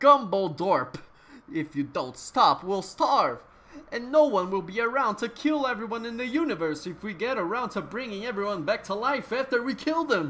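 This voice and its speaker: Moderately paced speech in a put-on character voice with a fairly high pitch. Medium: read story. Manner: angry, forceful.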